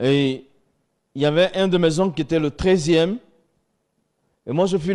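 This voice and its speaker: A man with a fairly high pitch and ordinary pitch variation talks at a moderate pace, with a quiet background. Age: 50s. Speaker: former imam giving religious testimony. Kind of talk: testimony.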